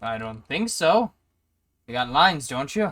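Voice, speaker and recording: In a put-on character voice, a man speaks at a moderate pace with fairly high pitch and very wide pitch swings, recorded very cleanly against a silent background. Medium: actual play. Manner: impatient, brusque.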